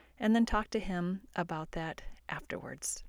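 A woman's plain, everyday voice at a medium pitch and fairly slow pace, in a very clean recording with a silent background. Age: 50s. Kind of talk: devotional teaching podcast. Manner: casual, conversational.

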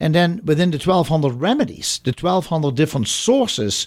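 A man with a German accent, fairly high-pitched, at a moderate pace. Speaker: radio host. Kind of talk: radio interview. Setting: radio studio with phone callers.

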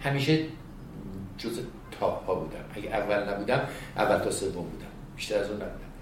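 Heard with audible room echo, a man at a medium pitch talks at a fairly quick pace with long, frequent pauses and ordinary pitch variation. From Iran, village northwest of Tehran. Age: 60s. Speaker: retired emergency medical trainer. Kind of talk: interview, storytelling.

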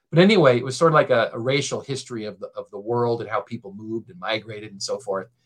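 Here a man talks at a fairly quick pace with an American accent. His medium-pitched voice is a normal speaking voice. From Maine, US. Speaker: history professor. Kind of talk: casual chat.

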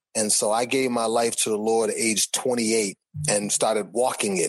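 A man with a plain, everyday voice and an American accent talks at a fairly low pitch and a fairly slow pace. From Boston. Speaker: music artist. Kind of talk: interview.

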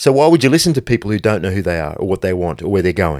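A man's intense voice swings very widely in pitch, with vocal fry, on a very clean recording with a silent background. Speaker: podcast host and brand founder. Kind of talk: pep talk; motivational monologue, solo podcast. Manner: intense, blunt, hard-driving motivational delivery; forceful, direct, no-nonsense.

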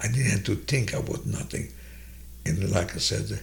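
A man with a Hungarian accent speaks at a fairly slow pace. His very deep, low voice makes very wide pitch swings. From Hungary. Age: 90s. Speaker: Holocaust survivor. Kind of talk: personal testimony. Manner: slow, halting.

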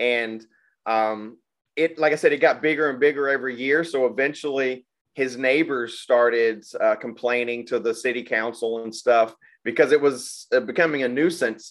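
A man's medium-pitched voice with a Southern US accent, ordinary pitch variation and a moderate pace, against a quiet background. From Arkansas (Little Rock area). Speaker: podcast host. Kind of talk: casual chat.

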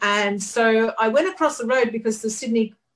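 With an English accent, a woman talks at a moderate pace in a fairly high pitch and lively intonation. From UK. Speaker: photographer. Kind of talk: interview. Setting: studio.

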